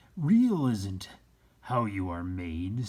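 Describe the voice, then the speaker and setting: A man puts on a character voice. His pitch sits fairly low. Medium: read story. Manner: gentle, unhurried, wise.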